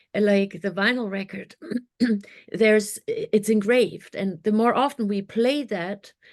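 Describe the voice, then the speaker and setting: A woman with a German accent, fairly high pitch and a fairly slow pace. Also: fairly even intonation. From Germany. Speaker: mindset coach. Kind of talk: podcast interview.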